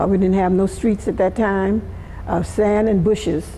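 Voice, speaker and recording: Over noticeable background noise, a woman with a Southern US accent speaks at a medium pitch with fairly even intonation. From US South, Florida. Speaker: community elder. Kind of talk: oral history interview.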